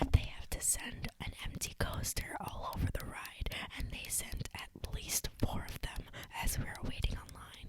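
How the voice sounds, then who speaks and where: Someone whispers at a fairly slow pace with noticeable background noise behind them. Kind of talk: casual podcast storytelling between friends.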